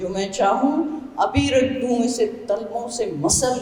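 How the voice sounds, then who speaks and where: Noticeable background noise runs under this recording. A woman speaks with a fairly high pitch and lively intonation. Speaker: oncologist. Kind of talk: poetry reading.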